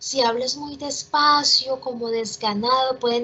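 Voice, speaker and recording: A woman with a high pitch talks very slowly, with ordinary pitch variation. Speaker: teacher. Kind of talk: online class.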